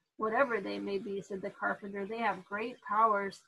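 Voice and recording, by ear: Read aloud in a natural voice, the passage moves with fairly even intonation.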